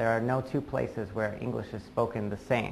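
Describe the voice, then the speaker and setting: Vocal fry colors a man's speech in an American accent. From US Northeast, Massachusetts. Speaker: English teacher. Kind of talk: tutorial. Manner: clear, deliberate.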